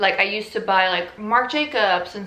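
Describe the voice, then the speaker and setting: A woman with a Dutch accent at medium pitch, amid audible room echo and noticeable background noise. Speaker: fashion YouTuber. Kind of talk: casual vlog talk.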